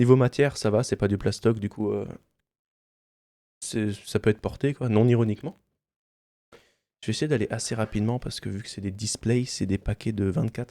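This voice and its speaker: Soft-spoken at a medium pitch, a man with a dark, mellow tone talks at a moderate pace with long, frequent pauses, the sound dry and close with no echo. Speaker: ASMR unboxing youtuber and streamer. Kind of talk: soft-spoken ASMR unboxing. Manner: speaks softly.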